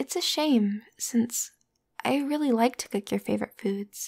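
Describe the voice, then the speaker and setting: A soft-spoken voice moves at a fairly slow pace over a quiet background. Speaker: voice actor in audio roleplay. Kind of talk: scripted roleplay monologue to listener. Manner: soft, hushed, close ASMR roleplay voice.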